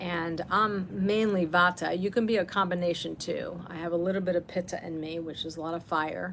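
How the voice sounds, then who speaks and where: Over noticeable background noise, a woman with a fairly low voice speaks at a fairly quick pace and with fairly even intonation. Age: 60s. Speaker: wellness teacher. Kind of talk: casual talk during live self-care session. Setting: livestream at home. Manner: halting, many fillers.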